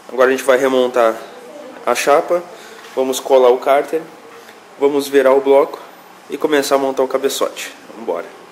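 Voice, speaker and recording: A man talks with a fairly high pitch, leaving long, frequent pauses. Noticeable background noise sits behind him. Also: fairly quick pace. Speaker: mechanic and YouTube channel host. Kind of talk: workshop tutorial video. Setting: mechanic workshop. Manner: animated.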